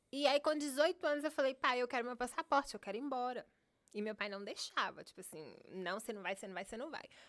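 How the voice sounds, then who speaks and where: A high-pitched woman's voice at a fairly quick pace, with big swings in loudness and very wide pitch swings. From Contagem, Minas Gerais, Brazil. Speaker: guest, house cleaning business owner. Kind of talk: casual interview. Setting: studio.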